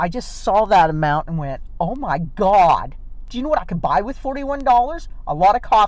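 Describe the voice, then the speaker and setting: Audible room echo surrounds a woman talking in an animated tone at a moderate pace. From Oklahoma, Lawton. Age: 60s. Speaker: vlogger. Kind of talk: casual vlog chat. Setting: in a car.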